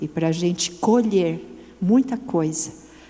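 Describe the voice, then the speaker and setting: A fairly low-pitched woman at a very slow pace, with ordinary pitch variation, audible room echo and noticeable background noise. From Brazil, São Paulo. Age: 60s. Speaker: women's ministry speaker. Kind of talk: sermon. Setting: church event with audience.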